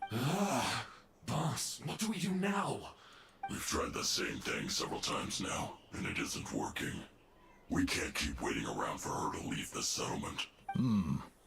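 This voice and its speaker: Using a raspy, put-on character voice, a man speaks with a slight echo and clear background noise. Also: fairly high pitch for a man, moderate pace. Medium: video game.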